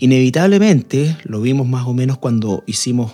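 Here a man speaks at a medium pitch and a moderate pace with ordinary pitch variation. His tone is dark and mellow, and the recording is very clean with a silent background. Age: 50s. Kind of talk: radio panel discussion on faith and marriage.

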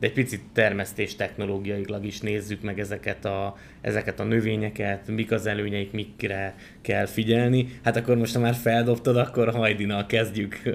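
In a very clean recording with a silent background, a man speaks at a moderate pace with monotone, flat intonation. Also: fairly low pitch for a man. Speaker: agricultural podcast host. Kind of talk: podcast interview conversation. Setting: studio, guests seated beside him.

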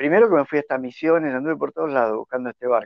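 Speaking with an Argentine accent, a man uses a fairly high pitch. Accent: Rioplatense Argentine Spanish. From Argentina, La Plata. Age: 60s. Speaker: sailor living aboard a historic schooner. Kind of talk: casual interview. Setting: remote call from a boat.

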